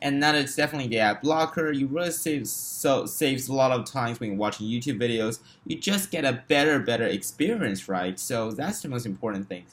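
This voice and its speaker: The man's voice sits at a medium pitch. He talks at a fairly quick pace with lively intonation. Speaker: tech YouTuber. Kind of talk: casual talk-to-camera review.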